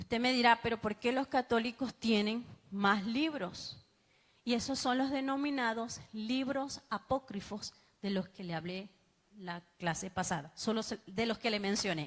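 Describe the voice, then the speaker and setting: A plain, everyday voice with ordinary pitch variation, at a fairly slow pace. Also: woman, fairly high pitch for a woman. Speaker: bible teacher. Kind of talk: sermon-style bible class.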